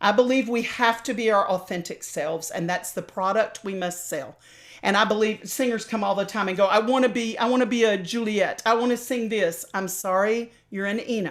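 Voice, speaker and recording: Speaking with an American accent, a woman talks fairly quickly at a fairly high pitch, hardly pausing. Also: ordinary pitch variation. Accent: slight Southern, mostly dropped. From US South. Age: old. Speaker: opera singer and voice teacher. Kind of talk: interview.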